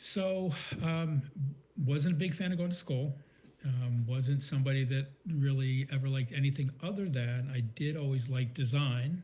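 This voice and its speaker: Speaking with an American accent, a man with a fairly high voice keeps his loudness very even, his tone dark and mellow, his delivery somewhat breathy, and his pitch variation ordinary. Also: moderate pace. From Maryland, rural. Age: 60s. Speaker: serial entrepreneur. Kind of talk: interview. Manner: casual, hesitant with fillers.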